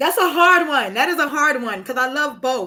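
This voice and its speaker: A woman's raised, projected voice with an American accent, on a very clean recording with a silent background. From Brooklyn, New York. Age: 30s. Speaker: live-stream host and spiritual reader. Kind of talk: casual live-stream chat. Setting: live stream.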